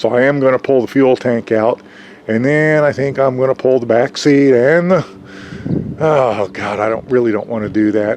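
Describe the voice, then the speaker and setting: A man talks at a moderate pace with ordinary pitch variation. Noticeable background noise runs under his voice. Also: medium pitch for a man. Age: 60s. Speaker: DIY hobbyist vlogger. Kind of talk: tutorial.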